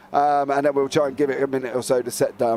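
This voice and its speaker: A man with an English accent, at a very fast pace. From England. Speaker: sim racing commentator. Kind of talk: live commentary. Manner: animated.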